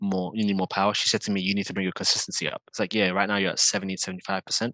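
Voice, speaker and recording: A man with a British accent, fairly low pitch, fairly even intonation and a bright, sharp tone, in a dry, close sound with no echo against a quiet background. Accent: UK accent, sounds rough and hard. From England. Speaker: drifter and video creator. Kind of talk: casual chat.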